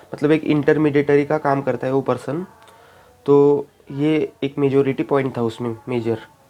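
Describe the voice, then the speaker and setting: A man speaks with a fairly high pitch and a flat, monotone delivery. Noticeable background noise runs under his voice. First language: Marathi (speaking Hindi). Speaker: YouTuber, bank exam aspirant. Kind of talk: casual vlog talk. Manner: halting, many fillers.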